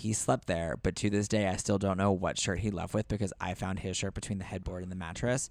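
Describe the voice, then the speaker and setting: Over a very clean recording with a silent background, a man with a very deep, low voice talks at a fairly quick pace with fairly even intonation. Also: hardly any pauses. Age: 30s. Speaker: podcast guest. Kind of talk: casual chat.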